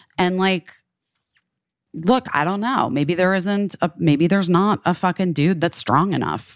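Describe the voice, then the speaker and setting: A normal speaking voice from a woman at medium pitch, fairly slow, with ordinary pitch variation, on a very clean recording with a silent background. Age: 40s. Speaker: podcast co-host. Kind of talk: casual chat.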